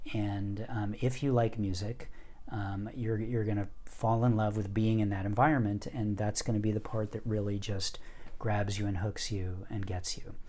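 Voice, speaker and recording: Speaking in an American accent, a man with a fairly low, somewhat breathy voice talks at a moderate pace in a monotone, flat way, with audible room echo around him. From US Northeast. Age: 50s. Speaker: poet and music teacher. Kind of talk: interview storytelling.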